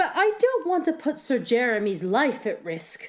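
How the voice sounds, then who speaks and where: High, female-sounding tones in a put-on character voice, moderate in pace and with very wide pitch swings. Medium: read story.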